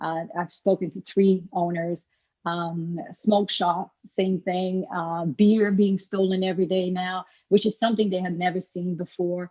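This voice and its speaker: With a French accent, a woman speaks at a medium pitch. Her pace is fairly slow and her intonation fairly even. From France. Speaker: public commenter. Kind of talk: public comment at meeting.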